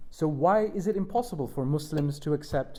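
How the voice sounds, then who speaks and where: Speaking fairly quickly with a London accent, a man has a fairly high pitch and a dark, mellow tone. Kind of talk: panel discussion. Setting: stage with audience at a university. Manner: halting.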